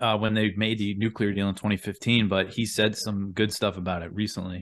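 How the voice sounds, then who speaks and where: A man speaks at a fairly quick pace in a fairly low pitch. It is a normal speaking voice. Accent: American. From US Northeast, Long Island, New York. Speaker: journalist and news podcast host. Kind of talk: casual interview chat.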